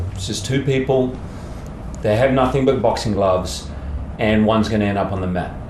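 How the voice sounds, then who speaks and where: A man with an Australian accent speaks with ordinary pitch variation over noticeable background noise. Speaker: actor. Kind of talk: interview answer.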